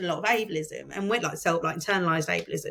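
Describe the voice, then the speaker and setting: A woman with an English accent, very fast pace and lively intonation. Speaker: podcast host and content creator. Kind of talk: casual interview chat. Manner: clear speech.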